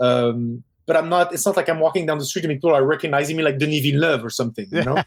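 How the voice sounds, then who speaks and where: Speaking at a very fast pace in a Parisian accent, a man uses a fairly high pitch with ordinary pitch variation. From Quebec, English part of town, French family. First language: French. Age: 40s. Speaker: film director. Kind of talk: casual interview chat.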